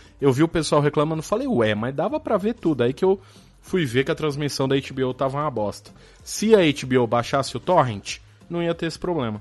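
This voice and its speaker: The speech runs at a fairly quick pace with music in the background. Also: man, fairly high pitch for a man, lively intonation. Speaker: podcast co-host. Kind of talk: casual chat.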